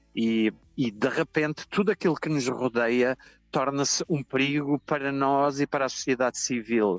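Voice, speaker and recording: With music in the background, a man speaks at a moderate pace in a fairly high pitch and ordinary pitch variation, the sound dry and close with no echo. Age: 60s. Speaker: journalist. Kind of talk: interview.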